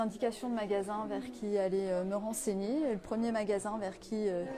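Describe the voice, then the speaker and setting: The woman keeps her intonation fairly even and her pace fairly slow, with background noise noticeable behind her. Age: 30s. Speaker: apprentice optician, former nurse. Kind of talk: interview.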